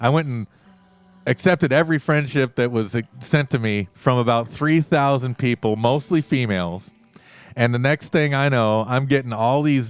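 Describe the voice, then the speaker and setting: A man with a plain, everyday voice speaks at a medium pitch and a moderate pace, with ordinary pitch variation. The sound is dry and close, with no echo. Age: 50s. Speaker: radio show host. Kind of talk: casual chat.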